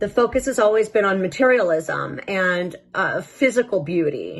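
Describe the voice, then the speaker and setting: Her voice sits at a medium pitch for a woman and moves at a moderate pace. The intonation is lively throughout. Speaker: tarot reader. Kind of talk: tarot reading. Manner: halting.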